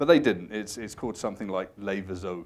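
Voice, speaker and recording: With audible room echo, a man with a very deep, low pitch talks at a very fast pace. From southwest England, rural village. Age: 40s. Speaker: futurist speaker. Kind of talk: conference talk.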